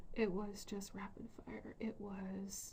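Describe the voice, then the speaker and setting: This is a woman's voice. She is soft-spoken. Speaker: spiritual vlogger. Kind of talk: casual vlog monologue. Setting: bedroom.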